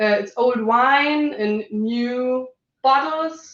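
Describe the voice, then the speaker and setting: A woman speaks with a German accent. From Germany. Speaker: business manager. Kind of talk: panel discussion.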